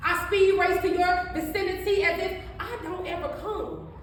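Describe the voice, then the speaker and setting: A woman speaks at an extremely high pitch over noticeable background noise. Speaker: spoken word poet. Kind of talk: spoken word poetry performance. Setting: live event, no microphone. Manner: emotional.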